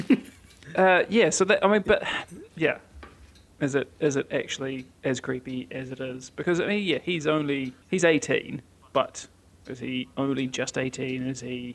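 Man's fairly high voice at a moderate pace, ordinary pitch variation, long and frequent pauses. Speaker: film podcast co-host. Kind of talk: casual chat. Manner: quiet at times.

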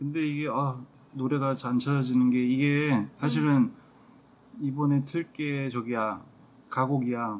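The delivery is very slow, with long, frequent pauses and fairly even intonation. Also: man, medium pitch for a man. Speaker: podcast co-host. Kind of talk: casual chat.

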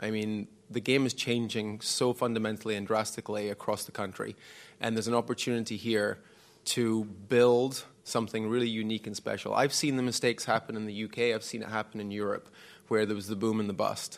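A man with a Scottish accent and a fairly low pitch speaks fairly quickly in a monotone, flat intonation, in a very clean recording with a silent background. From Scotland. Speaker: former professional squash champion and academy director. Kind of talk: live panel discussion. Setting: stage with live audience.

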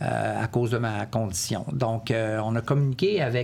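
This man talks at a medium pitch. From Quebec City. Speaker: military veteran. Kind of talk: testimony. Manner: halting.

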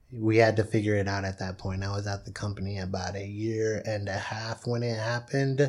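A man with an ordinary speaking voice, fairly low in pitch, talks at a fairly quick pace. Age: 20s. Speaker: recent college graduate. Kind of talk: casual chat.

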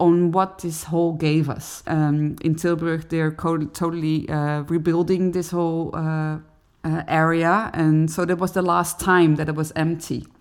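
A woman's fairly low, monotone, flat voice at a fairly slow pace, with a Dutch accent, in a very clean recording over a silent background. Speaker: cellist and singer. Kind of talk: interview conversation.

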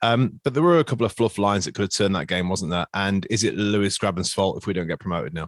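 A man with an East Midlands accent, fairly low in pitch, ordinary pitch variation, very fast pace and hardly any pauses, dry, close sound with no echo, very clean recording and silent background. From Nottingham, England. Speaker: podcast host. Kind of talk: casual chat.

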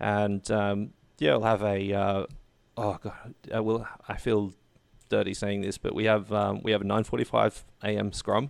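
A man with an Australian accent, fairly low in pitch, fairly even in intonation and fairly slow in pace, on a very clean recording with a silent background. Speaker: esports caster and producer. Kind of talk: casual interview.

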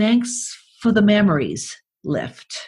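This woman sounds somewhat breathy and animated. Her intonation is lively. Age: 60s. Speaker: podcast host and writer. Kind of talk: reading aloud own writing with comments. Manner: animated, laughing.

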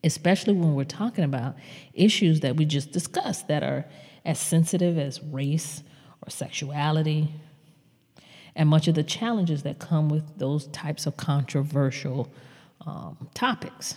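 A woman with an American accent speaks at a moderate pace in a very deep, low pitch, somewhat breathy, with a dark, mellow tone and ordinary pitch variation. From US South. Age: 50s. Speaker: podcast host, marketing consultant. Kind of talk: solo podcast commentary.

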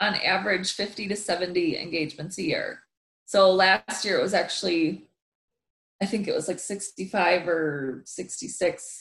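With an American accent and an unremarkable speaking voice, a woman of medium pitch speaks fairly slowly with fairly even intonation. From US Midwest, Wisconsin. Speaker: motivational speaker. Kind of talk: interview.

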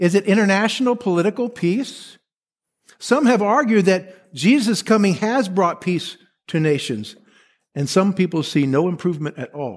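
In an American accent, a man speaks at a high pitch with lively intonation and a moderate pace. The recording is very clean with a silent background. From Texas. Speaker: pastor. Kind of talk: sermon. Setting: church.

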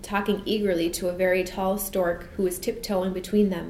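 Just a natural reading voice

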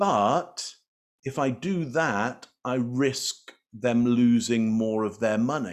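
Very slow speech with an English accent comes with lively intonation and long, frequent pauses. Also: man, medium pitch for a man. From England. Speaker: body language expert. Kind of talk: interview.

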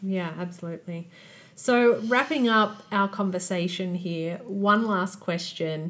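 A woman at medium pitch speaks at a fairly slow pace with ordinary pitch variation. Hers is an ordinary speaking voice. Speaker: podcast host. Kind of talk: interview.

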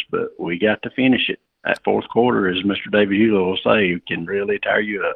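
A man with a Southern US accent, speaking at a fairly quick pace. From North Carolina. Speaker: farmer. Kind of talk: radio interview. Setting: phone call.

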